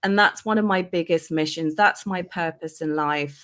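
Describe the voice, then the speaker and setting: A woman speaks at a fairly low pitch with a London accent. The recording is very clean with a silent background. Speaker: life coach. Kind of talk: interview.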